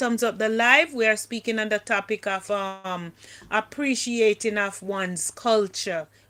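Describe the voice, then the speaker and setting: Bright, sharp tone at a fairly slow pace with ordinary pitch variation, on a very clean recording with a silent background. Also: woman. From Jamaica. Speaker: livestream host. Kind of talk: casual livestream chat.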